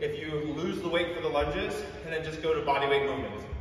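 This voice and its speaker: Strong room echo and light background noise surround speech delivered at a fairly quick pace. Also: man. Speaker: fitness coach. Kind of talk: workout coaching instruction. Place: gym.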